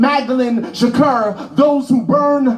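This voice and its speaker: Against noticeable background noise, a man talks at an extremely high pitch with ordinary pitch variation. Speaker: spoken word poet. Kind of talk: live spoken word poetry performance. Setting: live event. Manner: rhythmic, impassioned.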